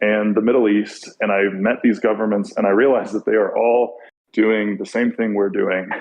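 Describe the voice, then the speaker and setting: A man with a Californian accent talks at a moderate pace and a fairly low pitch. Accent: California. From US small town. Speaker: podcast guest. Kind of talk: casual chat.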